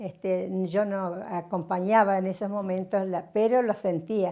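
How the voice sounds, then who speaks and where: A woman's medium-pitched voice keeps a moderate pace. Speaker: retired radio announcer. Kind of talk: interview answer.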